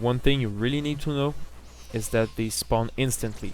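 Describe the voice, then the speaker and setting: Music plays in the background as someone speaks with a French Canadian accent in a monotone, flat intonation. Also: man. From French Canada. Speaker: gamer. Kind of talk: video game tutorial narration.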